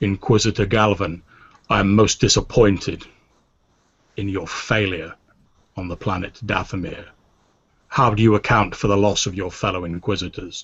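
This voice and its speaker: Using a raspy, put-on character voice, a man speaks at a fairly low pitch and a moderate pace with long, frequent pauses. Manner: stern and disappointed.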